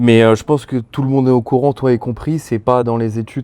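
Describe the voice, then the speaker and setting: This man's voice has a dark, mellow tone. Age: 20s. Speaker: former salesman. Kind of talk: podcast interview. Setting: outdoors by a pool at night. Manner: casual.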